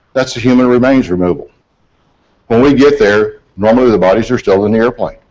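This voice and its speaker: A man talks with a Southern US accent at medium pitch. He speaks at a very fast pace with ordinary pitch variation. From US South, mountains of western North Carolina. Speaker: aviation accident investigator. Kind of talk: presentation. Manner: folksy, conversational.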